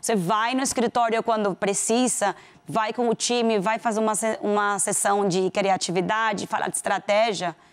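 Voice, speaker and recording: A woman with a fairly high pitch and fairly even intonation at a moderate pace, over a quiet background. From Venezuela. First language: Spanish (speaking Portuguese). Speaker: corporate executive; guest. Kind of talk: interview. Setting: studio. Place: studio. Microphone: lapel.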